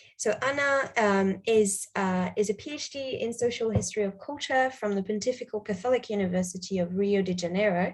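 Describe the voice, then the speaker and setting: Ordinary pitch variation marks a woman's somewhat breathy voice. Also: medium pitch for a woman. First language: not English. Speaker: panel chair. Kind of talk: conference moderation. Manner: hesitant, many fillers.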